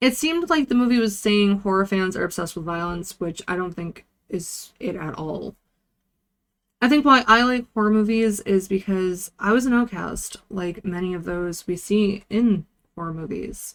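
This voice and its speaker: Speaking at a moderate pace and medium pitch, a woman has an unremarkable speaking voice. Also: ordinary pitch variation. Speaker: vtuber movie reviewer. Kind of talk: casual movie review talk to camera.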